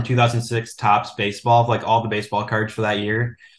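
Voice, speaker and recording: In an Upper Midwest accent, a man talks at a fairly quick pace and medium pitch. His intonation is monotone and flat, and the background is quiet. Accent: Upper Midwest American. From Minnesota, US Midwest. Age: 20s. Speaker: sports card collector and author. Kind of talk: podcast interview.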